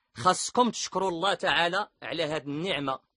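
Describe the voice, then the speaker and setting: Against a quiet background, the talking keeps a moderate pace. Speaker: religious teacher. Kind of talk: religious lesson on pilgrimage rites.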